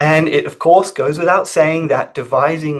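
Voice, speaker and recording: A man with an Australian accent, fairly high in pitch, at a moderate pace. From Australia, Sydney. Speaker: research scientist. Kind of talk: webinar presentation.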